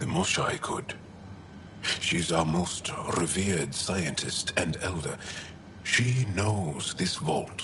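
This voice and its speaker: Someone speaks in a put-on character voice at a very slow pace, with clear background noise behind it. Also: man, very deep, low pitch for a man. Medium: game stream.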